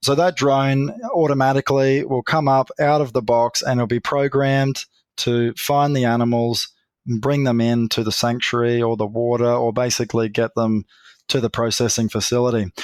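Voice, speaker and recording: In a very clean recording with a silent background, a man with an Australian accent talks at a moderate pace and medium pitch, his intonation fairly even, his loudness very even, and the sound dry and close with no echo. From Australia, North West Queensland. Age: 40s. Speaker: grazier and drone company founder. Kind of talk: podcast interview.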